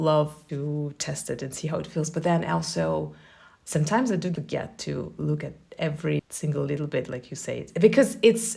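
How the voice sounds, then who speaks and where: A woman speaks at a moderate pace in a Russian accent. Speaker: podcast host. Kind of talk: podcast interview.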